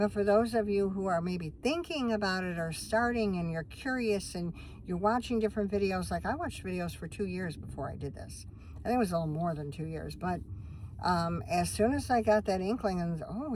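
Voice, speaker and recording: A woman's somewhat breathy voice, medium in pitch, with ordinary pitch variation and a fairly quick pace. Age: 60s. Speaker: van-dwelling vlogger. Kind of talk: casual chat. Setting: in a van. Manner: rambling, conversational.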